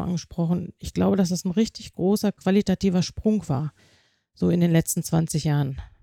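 At a fairly quick pace, a woman talks in a dark, mellow tone with a fairly low pitch and ordinary pitch variation, on a very clean recording with a silent background. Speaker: nurse and nursing development specialist. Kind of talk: interview. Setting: on-site recording in a hospital.

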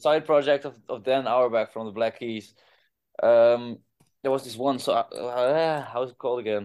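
A man with a Dutch accent speaks at a moderate pace and medium pitch. His intonation is fairly even, and the background is quiet. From Groningen, Netherlands. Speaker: rock band singer. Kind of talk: casual interview. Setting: video call.

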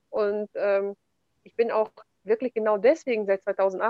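Lively intonation marks this normal speaking voice at a moderate pace. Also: woman. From Kazakhstan, German settlement in the Altai region. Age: 30s. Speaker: entrepreneur and real estate investor. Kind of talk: interview conversation.

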